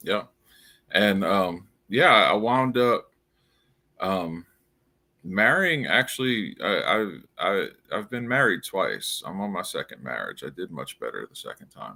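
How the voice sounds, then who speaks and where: A man speaks fairly slowly in a New Orleans accent, with long, frequent pauses and big swings in loudness. The recording is very clean, with a silent background. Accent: noticeable New Orleans. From US South, New Orleans, Louisiana. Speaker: crypto founder and writer. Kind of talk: casual interview. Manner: halting, many repeats and fillers.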